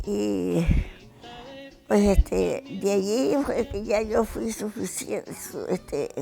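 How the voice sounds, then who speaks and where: Music plays in the background. The speech comes at a very slow pace. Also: woman. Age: 80s+. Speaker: retired factory seamstress. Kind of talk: interview answer.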